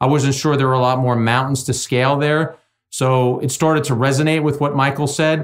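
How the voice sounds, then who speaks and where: A man with an American accent has an unremarkable speaking voice at a medium pitch and fairly even intonation. He talks at a moderate pace in a very clean recording with a silent background. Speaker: sports broadcaster and baseball analyst. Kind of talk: interview conversation.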